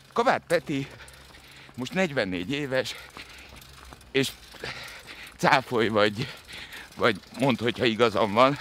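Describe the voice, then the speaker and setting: A man speaks at a very slow pace, leaving long, frequent pauses. Noticeable background noise runs underneath. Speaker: podcast host. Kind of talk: casual interview while running. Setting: outdoors, running.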